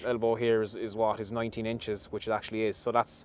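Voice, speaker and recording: A man speaks with a West Cork accent. His pace is very fast. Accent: Irish (West Cork). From Ireland, West Cork (Skibbereen). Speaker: dairy farm manager. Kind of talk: on-site interview. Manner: hesitant, many fillers.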